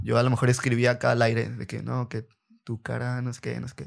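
Against a silent background on a very clean recording, a man talks at a very fast pace. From Reynosa, Tamaulipas, Mexico. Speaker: rapper and former freestyler. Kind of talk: casual interview. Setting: at his home.

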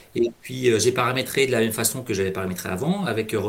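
Fairly quick speech from a man at medium pitch, ordinary pitch variation, noticeable background noise. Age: 40s. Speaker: payroll worker and amateur trader. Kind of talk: interview. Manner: halting.

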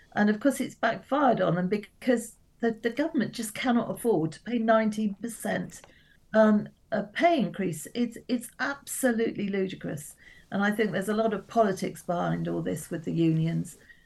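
Marked by vocal fry, the voice moves at a moderate pace with ordinary pitch variation. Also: woman, medium pitch for a woman. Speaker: politician. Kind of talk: radio interview, political discussion.

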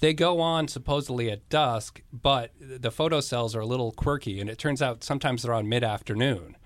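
With an American accent, a man talks at a fairly quick pace and medium pitch, using ordinary pitch variation and hardly any pauses in an ordinary speaking voice. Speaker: former city councilman. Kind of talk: radio interview.

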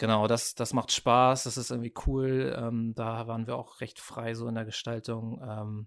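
A man's medium-pitched voice moves fairly slowly with monotone, flat intonation. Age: 30s. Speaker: art director and graphic designer. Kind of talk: casual interview chat.

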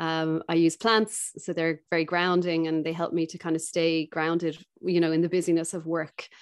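With a Dublin accent, a woman of fairly low pitch speaks in a monotone, flat intonation at a moderate pace with hardly any pauses. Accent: Dublin Irish. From Ireland, Dublin. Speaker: skincare company founder. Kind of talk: interview conversation.

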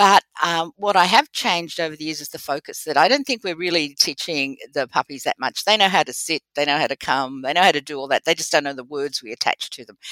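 Speaking in an Australian accent at a very fast pace with hardly any pauses, a woman uses a very deep, low pitch and a bright, sharp tone, her sound dry and close with no echo. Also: ordinary pitch variation, big swings in loudness. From Sydney, Australia. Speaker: veterinary behaviorist. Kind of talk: interview.

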